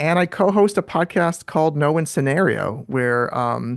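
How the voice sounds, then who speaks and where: A man's fairly high voice with a New York accent and lively intonation, dry and close with no echo, over a quiet background. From New York City. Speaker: filmmaker and author. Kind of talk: interview. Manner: fast.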